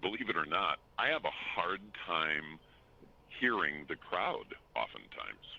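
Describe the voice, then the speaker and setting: Talking with an American accent, a man goes at a fairly slow pace with long, frequent pauses. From Minnesota. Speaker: stadium public address announcer. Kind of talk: podcast interview.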